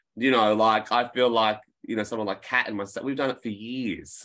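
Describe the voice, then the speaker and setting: Someone with an Australian accent speaks at a moderate pace in a quiet background. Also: man. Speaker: film historian and disc producer. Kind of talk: casual interview chat. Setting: video call. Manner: animated.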